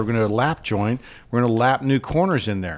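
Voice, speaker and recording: Speaking at a fairly quick pace with medium pitch, a man is heard in a very clean recording with a silent background. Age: 50s. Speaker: preservation carpenter, podcast host. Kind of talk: casual chat. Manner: halting.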